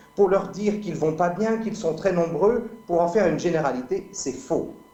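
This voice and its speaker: A man's high-pitched voice comes through with audible room echo and noticeable background noise. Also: ordinary pitch variation, moderate pace. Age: 50s. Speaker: medical doctor and speaker. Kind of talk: debate.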